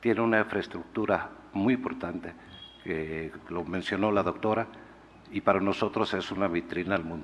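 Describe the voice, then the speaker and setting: Over noticeable background noise, a man with a non-native accent talks at a moderate pace, his fairly low pitch showing ordinary variation. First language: not Spanish (speaking Spanish). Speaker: company executive. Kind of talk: press conference answer. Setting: press conference. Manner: halting.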